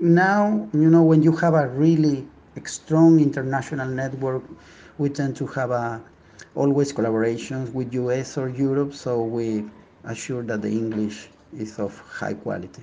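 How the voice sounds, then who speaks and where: A man with a Spanish accent talks at a moderate pace and medium pitch. His pitch varies in an ordinary way. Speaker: neuroscientist. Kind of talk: interview.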